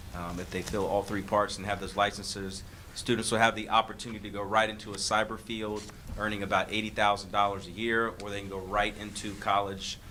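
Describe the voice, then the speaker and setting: A man talks at a fairly quick pace in a monotone, flat voice with big swings in loudness over noticeable background noise. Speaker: school district administrator. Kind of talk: board meeting presentation. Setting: public board meeting. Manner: fast; hesitant, many fillers.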